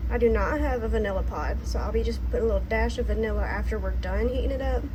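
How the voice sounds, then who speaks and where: A soft-spoken woman with vocal fry and a dark, mellow tone talks very fast at a very deep, low pitch in a monotone, flat delivery, with audible room echo around her. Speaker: homesteader cooking channel host. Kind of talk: cooking tutorial.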